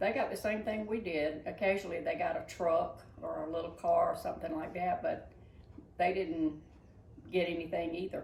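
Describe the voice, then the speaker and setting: A woman with a Southern US accent speaks at a moderate pace against noticeable background noise. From Georgia, USA. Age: 80s+. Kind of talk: interview answer.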